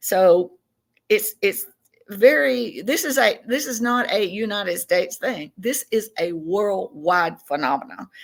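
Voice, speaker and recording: A woman with a Southern US accent talks at a fairly slow pace. Her medium pitch swings very widely. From Tennessee. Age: 60s. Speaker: self-described alien contactee. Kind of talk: podcast interview.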